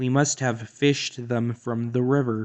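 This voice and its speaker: A man uses a put-on character voice at medium pitch and moderate pace. His intonation stays monotone and flat. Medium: read story.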